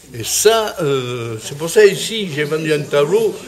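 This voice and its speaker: At a fairly slow pace, a fairly high-pitched man speaks through noticeable background noise and audible room echo. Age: 80s+. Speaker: painter. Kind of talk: interview. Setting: art exhibition. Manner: halting.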